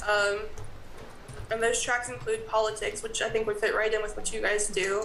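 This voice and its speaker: Speaking at a fairly quick pace with an American accent, a woman with a fairly high pitch keeps her intonation fairly even, amid audible room echo and noticeable background noise. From US South. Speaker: college graduate assistant. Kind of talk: presentation at town board meeting.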